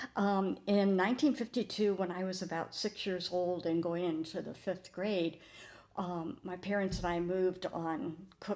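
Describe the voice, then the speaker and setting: A woman with a Midwestern US accent talks at a moderate pace, her medium pitch showing ordinary variation. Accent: US Midwest. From Ohio. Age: 80s+. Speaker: church member. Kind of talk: testimony.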